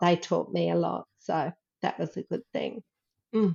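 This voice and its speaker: A woman with an Australian accent speaks at a fairly slow pace in a fairly low voice. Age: 60s. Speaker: herbalist. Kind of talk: casual interview.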